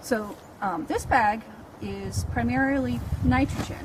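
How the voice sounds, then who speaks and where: Noticeable background noise and audible room echo surround a woman speaking. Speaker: librarian and gardener. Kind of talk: tutorial.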